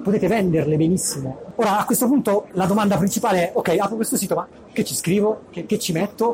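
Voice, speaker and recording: A man at a high pitch for a man, very fast pace and lively intonation, over noticeable background noise. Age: 30s. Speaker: tech blogger. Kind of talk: talk. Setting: stage with audience. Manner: halting. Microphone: poor audio quality.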